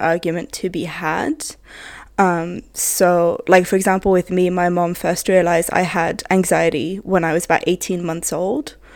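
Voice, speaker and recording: In a very clean recording with a silent background, a woman uses an ordinary speaking voice at a medium pitch and a moderate pace. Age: 20s. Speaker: podcast guest. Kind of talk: casual chat.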